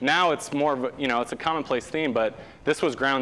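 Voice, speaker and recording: With an American accent, a man talks at a fairly high pitch in a bright, sharp tone. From Southern California. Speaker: sustainability activist, program founder. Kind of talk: guest lecture. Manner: animated.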